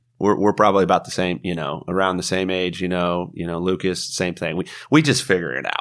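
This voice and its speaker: This man's voice is very deep and low, with an American accent and ordinary pitch variation. He moves at a fairly quick pace with hardly any pauses. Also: very clean recording, silent background. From Midwest, small-town southern Illinois. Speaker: software sales manager. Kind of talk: podcast interview. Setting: live at a trade show. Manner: animated.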